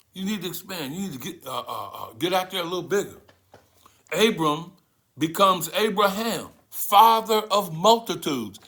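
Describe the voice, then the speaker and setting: High male voice, bright and sharp in tone and animated, with ordinary pitch variation, big swings in loudness, a moderate pace and audible room echo. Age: 70s. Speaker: spiritual teacher. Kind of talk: sermon.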